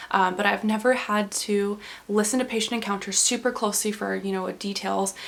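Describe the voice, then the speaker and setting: Over noticeable background noise, a woman talks fairly quickly at medium pitch in a monotone, flat delivery. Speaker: pre-physician assistant student, medical scribe. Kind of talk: casual talk to camera. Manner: fast.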